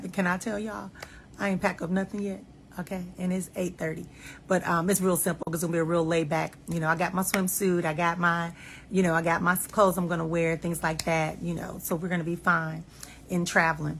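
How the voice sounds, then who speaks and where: A very fast, somewhat breathy woman's voice, fairly low in pitch, with monotone, flat intonation. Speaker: life and marriage coach. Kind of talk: casual monologue.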